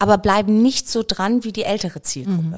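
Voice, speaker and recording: A woman with a normal speaking voice, a medium pitch, ordinary pitch variation and a fairly quick pace. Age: 50s. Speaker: biochemist and company founder. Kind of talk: casual interview.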